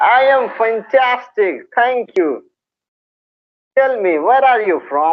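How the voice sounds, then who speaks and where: A man with an extremely high pitch speaks at a very slow pace. His intonation is lively, broken by long, frequent pauses. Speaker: English teacher YouTuber. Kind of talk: video call interview.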